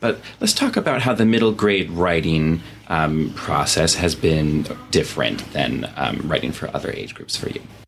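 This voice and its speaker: Speaking at a moderate pace, a man uses a very deep, low pitch and lively intonation. There is noticeable background noise. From Vermont. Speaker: podcast host. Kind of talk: interview. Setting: office.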